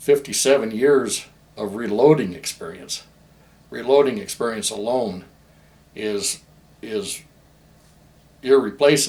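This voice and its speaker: Delivery is fairly slow, with lively intonation and big swings in loudness. Long pauses come often. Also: man, medium pitch for a man. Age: 60s. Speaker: gunsmith. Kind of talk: promotional talk about his business. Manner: repetitive, halting with restarts.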